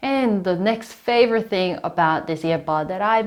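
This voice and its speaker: A woman at a moderate pace with ordinary pitch variation, over a quiet background. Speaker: tech reviewer. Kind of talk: product review. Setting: outdoors. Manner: loud. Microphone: recorded through earbud mic over phone call.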